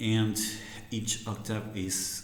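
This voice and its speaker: In a room with audible echo, a man with a fairly low pitch talks at a very slow pace. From Argentina. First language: Spanish. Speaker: harmonica teacher. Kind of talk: tutorial. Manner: halting, many fillers.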